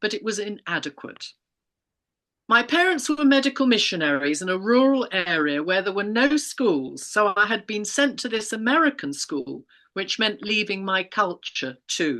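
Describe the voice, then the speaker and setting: A woman talks at a moderate pace with a bright, sharp tone. Her medium-pitched voice swings very widely in pitch. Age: 70s. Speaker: retired teacher. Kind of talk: interview testimony. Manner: measured, formal.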